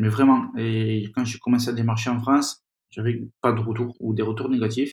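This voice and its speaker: Speaking at a moderate pace, a man holds a medium pitch in a flat monotone. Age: 40s. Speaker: magazine founder and editor. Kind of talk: interview. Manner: halting.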